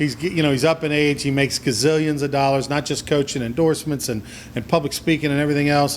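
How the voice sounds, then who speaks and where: Through noticeable background noise, a man rattles along at a very fast pace in a fairly high pitch with monotone, flat intonation. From Louisiana. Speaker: sports talk show host. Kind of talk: sports talk interview.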